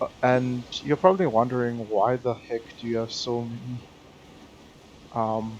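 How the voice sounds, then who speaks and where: A man's medium-pitched voice with ordinary pitch variation, fairly slow, with long, frequent pauses amid noticeable background noise. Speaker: gaming YouTuber. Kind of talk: gameplay commentary. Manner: hesitant, many fillers.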